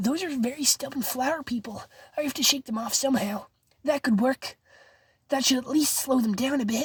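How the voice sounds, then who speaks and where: This is a raspy, put-on character voice delivered at a fairly quick pace. The sound is dry and close, with no echo. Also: woman, high pitch for a woman. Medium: read story.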